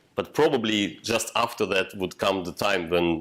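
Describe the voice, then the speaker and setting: A man talks at a fairly slow pace. He speaks with a non-native accent. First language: not English. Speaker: software developer, meetup speaker. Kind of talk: technical talk with discussion. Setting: meetup room with audience. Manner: halting, many fillers.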